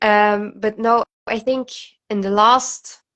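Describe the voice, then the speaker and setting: A woman with a non-native accent. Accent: non-native English pronunciation. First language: not English. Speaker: guest friend. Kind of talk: casual chat. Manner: halting.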